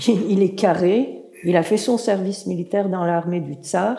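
A woman talks fairly slowly, her voice carrying audible room echo. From Turkey, Istanbul. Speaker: writer and translator. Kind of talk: public talk at a literary event. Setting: stage with audience.

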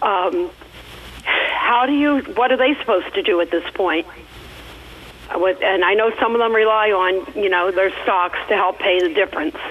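Speaking at a moderate pace with lively intonation and very even loudness, a woman at a medium pitch is heard over noticeable background noise. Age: 60s. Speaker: radio caller. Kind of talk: call-in question. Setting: phone call. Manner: halting.

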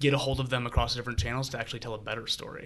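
A man's bright, sharp voice carries vocal fry. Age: 20s. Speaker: ad tech professional. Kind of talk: casual chat.

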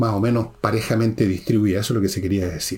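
A man's fairly low voice with vocal fry, in a Chilean accent. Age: 70s. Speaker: podcast host and author. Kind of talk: political commentary monologue.

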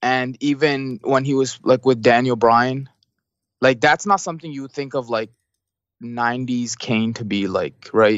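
A man with an ordinary speaking voice, medium pitch and a Canadian accent, at a fairly slow pace. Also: ordinary pitch variation. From Canada. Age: 20s. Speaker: wrestling fan guest. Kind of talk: casual chat.

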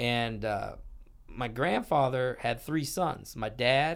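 A man speaks with a normal speaking voice at medium pitch, with ordinary pitch variation. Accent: American. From Canada (Toronto area), then Michigan from age nine. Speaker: poker player and business owner. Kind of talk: casual interview chat.

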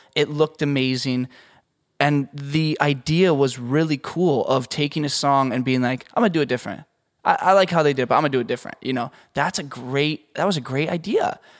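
In a very clean recording with a silent background, a man with a Canadian accent and an ordinary speaking voice talks at a fairly quick pace, with fairly high pitch and ordinary pitch variation. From Canada. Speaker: podcast host and audio engineer. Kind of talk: casual interview chat.

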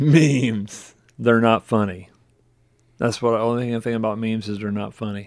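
This man has a plain, everyday voice of medium pitch. He keeps a moderate pace and a fairly even intonation. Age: 50s. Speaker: pastor. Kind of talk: casual chat.

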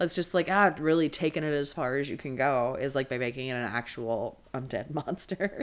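The speaker has an American accent and keeps a moderate pace with hardly any pauses. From Maryland, Chesapeake Bay area. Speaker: stand-up comedian. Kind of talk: casual chat.

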